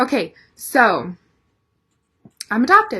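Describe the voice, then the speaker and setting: Against a quiet background, a woman with an American accent speaks in a bright, sharp tone with very wide pitch swings. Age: 20s. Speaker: vlogger. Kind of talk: personal story vlog.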